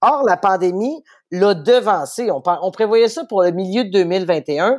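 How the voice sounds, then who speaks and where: A woman speaks with a Quebec accent. The recording is very clean, with a silent background. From Quebec City, Quebec. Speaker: newspaper editor-in-chief. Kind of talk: interview.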